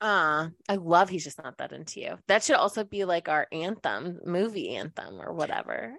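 This woman talks at a moderate pace with hardly any pauses, an animated tone, vocal fry, ordinary pitch variation and big swings in loudness. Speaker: podcast co-host. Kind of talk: casual chat. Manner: animated, laughing often.

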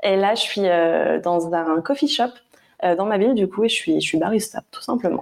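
A woman's unremarkable speaking voice, pitched at a medium level, at a moderate pace and with lively intonation. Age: 20s. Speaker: barista and proofreader, small business creator. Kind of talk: casual chat.

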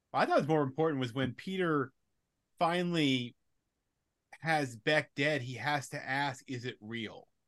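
Over a quiet background, a man with an American accent talks at a fairly slow pace and a fairly high pitch, with ordinary pitch variation and long, frequent pauses. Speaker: podcast co-host. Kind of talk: casual chat. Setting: video call.

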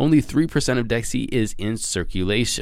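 A man speaks in an animated tone, his pitch swinging very widely and his voice showing vocal fry. The recording is very clean, with a silent background. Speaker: crypto news podcast host. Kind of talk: solo news podcast. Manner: fast.

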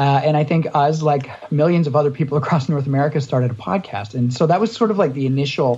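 Lively in intonation, a man with a Canadian accent talks in a somewhat breathy, fairly high voice. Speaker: podcast co-host. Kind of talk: casual interview chat.

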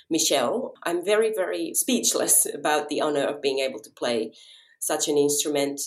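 With a Finnish accent, a woman speaks at a moderate pace with big swings in loudness. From Japan (Finnish family), then Finland. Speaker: violinist. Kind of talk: interview conversation.

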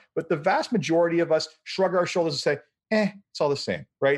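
Using a normal speaking voice, a man talks at a fairly quick pace and a fairly high pitch, with ordinary pitch variation. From Canada. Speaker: podcast host. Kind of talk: panel interview.

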